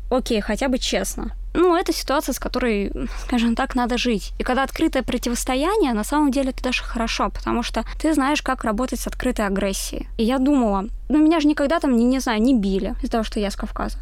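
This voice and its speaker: At a very fast pace, a woman speaks with a high pitch and lively intonation over noticeable background noise. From Moscow region, Russia. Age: 20s. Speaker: social media editor at a publisher. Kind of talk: casual chat.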